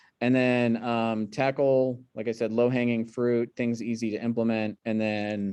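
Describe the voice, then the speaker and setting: At a fairly slow pace, a man with a medium pitch and a dark, mellow tone speaks in a monotone, flat intonation. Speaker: hospital sepsis quality presenter. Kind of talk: q&a discussion; webinar presentation. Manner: many fillers.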